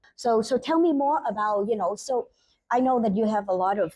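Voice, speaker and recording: At a moderate pace, a woman with a non-native accent speaks in a dark, mellow tone, fairly high in pitch, with lively intonation over a quiet background. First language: not English. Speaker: podcast host. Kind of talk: interview. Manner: halting.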